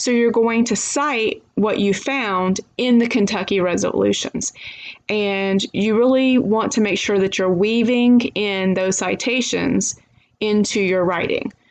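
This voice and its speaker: Using an unremarkable speaking voice, a woman with a fairly high pitch talks at a fairly slow pace with very even loudness. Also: fairly even intonation. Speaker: history professor. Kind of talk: lecture.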